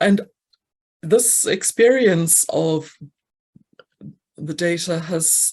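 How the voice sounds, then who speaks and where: This woman has a South African accent. Her pitch is fairly low. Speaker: actuary, conference speaker. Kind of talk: conference Q&A answer. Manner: halting.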